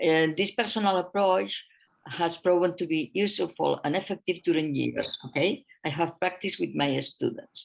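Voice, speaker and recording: A woman speaks at a moderate pace. Her loudness is very even. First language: not English. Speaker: author and educator. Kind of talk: presentation. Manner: halting.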